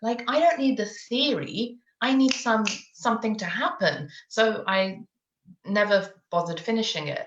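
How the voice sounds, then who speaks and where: A woman's somewhat breathy voice with lively intonation. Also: fairly high pitch for a woman, moderate pace. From UK. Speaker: parenting coach. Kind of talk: interview. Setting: live video stream.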